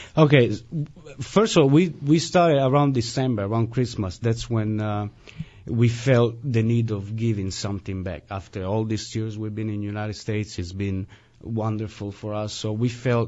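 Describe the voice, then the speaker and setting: This man has a slight Italian accent and talks at a moderate pace. His medium pitch shows ordinary variation. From Italy, Turin. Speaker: musician. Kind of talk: radio interview. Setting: radio studio.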